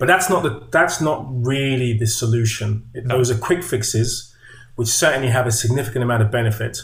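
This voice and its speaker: A man with a somewhat breathy voice speaks at a medium pitch, his pitch varying in an ordinary way. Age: 50s. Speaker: movement coach and author. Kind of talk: casual chat.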